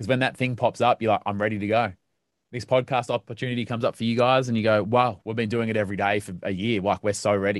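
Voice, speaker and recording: Over a quiet background, a man with an Australian accent talks very fast at a medium pitch in a flat monotone, the sound dry and close with no echo. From Melbourne, Australia. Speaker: radio broadcaster and podcaster. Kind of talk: casual interview chat.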